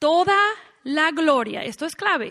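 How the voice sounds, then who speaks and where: The speech comes at a very slow pace in a Mexican accent, with very wide pitch swings. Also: woman. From United States. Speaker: women's conference speaker. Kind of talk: sermon.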